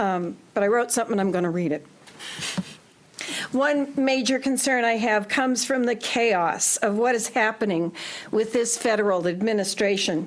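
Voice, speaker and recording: Her pitch is fairly high, and this woman keeps a moderate pace. Her loudness stays very even against noticeable background noise. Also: ordinary pitch variation. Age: 70s. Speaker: retired teacher speaking at public hearing. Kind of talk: public comment, reading a prepared statement. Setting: town council public hearing.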